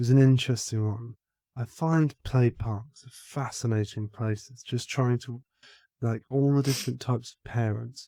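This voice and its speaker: This quiet voice has a dark, mellow tone and fairly even intonation, recorded with a dry, close sound and no echo. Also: man. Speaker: parenting podcast co-host. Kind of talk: casual chat.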